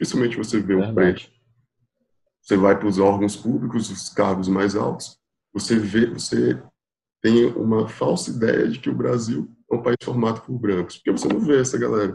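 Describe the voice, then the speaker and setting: A man speaks at a moderate pace with a fairly low pitch and ordinary pitch variation. His tone is dark and mellow, with vocal fry. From Piauí, northeast Brazil. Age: 20s. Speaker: public attorney. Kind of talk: casual chat.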